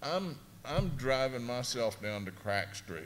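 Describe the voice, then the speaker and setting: This man's lively intonation moves around a medium pitch. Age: 60s. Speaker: abuse survivor panelist. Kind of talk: panel discussion testimony. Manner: halting.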